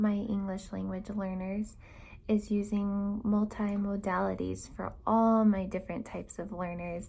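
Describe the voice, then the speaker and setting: Soft-spoken and calm, a woman speaks at a fairly slow pace in a dark, mellow, somewhat breathy voice with monotone, flat intonation. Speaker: elementary school teacher. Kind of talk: prepared video statement. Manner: calm, soft-spoken.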